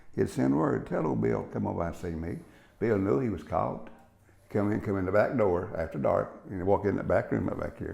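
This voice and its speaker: A man with an Appalachian accent, fairly low in pitch, at a moderate pace. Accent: Appalachian Southern US. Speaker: interviewee, relative of former sheriff. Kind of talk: oral history interview.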